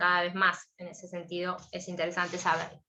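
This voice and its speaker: Someone with an Argentine accent speaks at a moderate pace in a bright, sharp tone. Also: woman. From Argentina. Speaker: law professor. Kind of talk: lecture.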